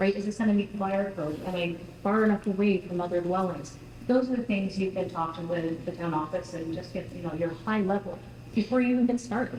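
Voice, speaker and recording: Against noticeable background noise and audible room echo, a woman speaks at a fairly quick pace with a fairly low pitch. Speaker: housing coordinator, moderator. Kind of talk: panel discussion. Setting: stage with audience. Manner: loud.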